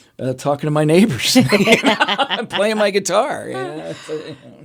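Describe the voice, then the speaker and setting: Speaking at a moderate pace, a man talks with a Pennsylvania accent. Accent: Pennsylvania American. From Pennsylvania, Lehigh Valley. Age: 50s. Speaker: regional economic development executive. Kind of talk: interview. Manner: casual, conversational.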